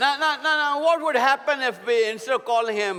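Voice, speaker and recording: The speaker has an Indian accent and a raised, projected voice with an animated tone. Noticeable background noise runs underneath. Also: man. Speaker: preacher. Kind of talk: sermon.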